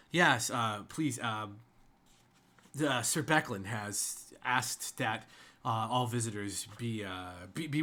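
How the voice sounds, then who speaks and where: A man's put-on character voice, raspy and medium in pitch with ordinary variation, at a very slow pace on a very clean recording with a silent background. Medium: actual play. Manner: deferential, nervous.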